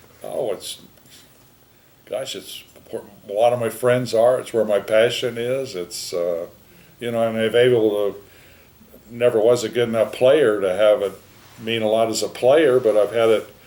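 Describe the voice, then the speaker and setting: A man speaks at a medium pitch in a dark, mellow tone. He keeps a moderate pace with long, frequent pauses and big swings in loudness. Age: 70s. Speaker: golf professional, rules official. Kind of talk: interview. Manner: halting; casual.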